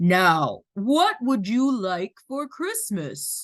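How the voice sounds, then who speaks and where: The voice is a put-on character at a fairly high pitch. It moves at a very slow pace. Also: female-sounding voice. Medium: read story. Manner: hearty, warm.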